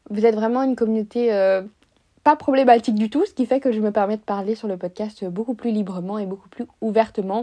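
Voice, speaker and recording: Her voice sits fairly high, with a dark, mellow tone. This woman speaks at a fairly quick pace with fairly even intonation. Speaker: podcast host. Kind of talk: casual monologue.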